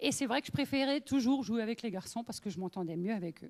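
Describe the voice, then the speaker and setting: In an Alsatian accent, a woman with a high pitch talks at a fairly quick pace using lively intonation. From Alsace, France (northern, near Lorraine border). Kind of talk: testimony. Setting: women's meeting with audience. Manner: conversational, many fillers.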